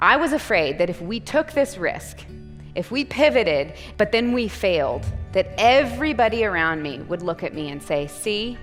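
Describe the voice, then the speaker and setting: A woman's voice makes very wide pitch swings. Music plays in the background. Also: moderate pace. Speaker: entrepreneur and keynote speaker. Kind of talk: keynote speech. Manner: high energy, enthusiastic.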